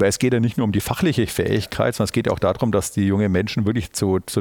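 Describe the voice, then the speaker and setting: Speaking at a very fast pace, a man lets his pitch vary in an ordinary way. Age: 50s. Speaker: auditor and managing partner. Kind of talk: podcast interview. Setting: university recording on site.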